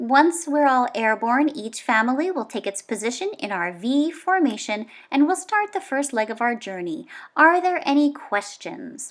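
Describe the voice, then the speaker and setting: Someone performs a put-on character voice at a moderate pace. The recording is very clean with a silent background. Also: woman, high pitch for a woman. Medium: read story. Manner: authoritative.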